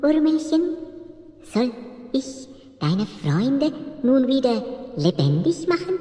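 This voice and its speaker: A female-sounding voice performs a put-on character voice at a high pitch and a fairly slow pace. Light background noise and a slight echo can be heard. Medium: audio drama. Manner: giggling.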